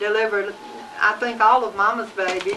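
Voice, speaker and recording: Noticeable background noise sits behind a woman speaking with a Southern US accent at a moderate pace and fairly high pitch. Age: 70s. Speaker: grandmother. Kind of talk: family interview. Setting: home video recording.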